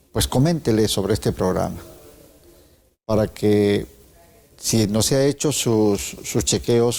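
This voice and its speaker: A man at a medium pitch with a fairly slow pace, ordinary pitch variation and long, frequent pauses. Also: very even loudness. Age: 60s. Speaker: TV host. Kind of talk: TV interview.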